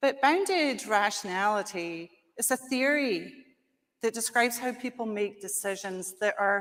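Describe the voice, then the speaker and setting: A woman with a Scottish accent speaks at a fairly slow pace, using a fairly high pitch and lively intonation. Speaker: conference speaker. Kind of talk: conference presentation.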